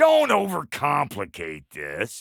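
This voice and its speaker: A put-on character voice, raspy and with an American accent. It goes at a fairly slow pace. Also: man. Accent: folksy American drawl. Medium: video game. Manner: crude, wisecracking, folksy.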